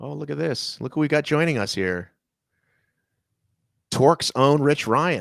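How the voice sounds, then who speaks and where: A man's fairly high, animated voice with very wide pitch swings, big swings in loudness and vocal fry, at a fairly slow pace with long, frequent pauses, in a very clean recording with a silent background. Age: 40s. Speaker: race commentator. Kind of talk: live commentary.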